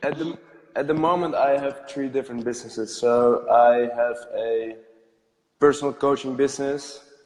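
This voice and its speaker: Fairly high male speech with fairly even intonation. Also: moderate pace. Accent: Dutch. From Netherlands. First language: Dutch. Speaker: entrepreneur, podcast guest. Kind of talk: casual interview.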